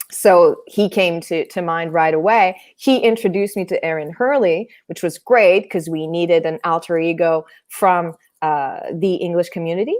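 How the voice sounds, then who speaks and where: With a Quebec accent, a woman talks at a moderate pace with a fairly low pitch and ordinary pitch variation. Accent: Québécois French-accented English. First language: French. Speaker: theatre artist. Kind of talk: interview conversation. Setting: online stream.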